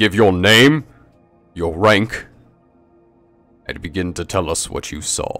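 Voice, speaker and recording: Using a put-on character voice, a man speaks at a fairly low pitch and a fairly slow pace with long, frequent pauses, while faint music plays in the background. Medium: actual play. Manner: brusque, forceful, clipped orders.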